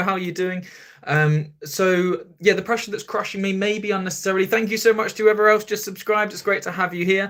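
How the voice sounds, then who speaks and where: Speaking at a fairly quick pace with a southern English accent, a man's high-pitched voice has a bright, sharp tone and fairly even intonation. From southern England, near Brighton. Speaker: podcast host. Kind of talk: live stream chat. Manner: casual, chatty.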